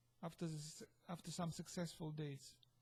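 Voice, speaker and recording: A man with a non-native accent speaks at a moderate pace in a dark, mellow tone with monotone, flat intonation. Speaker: vlogger. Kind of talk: casual vlog monologue. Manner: halting, repetitive.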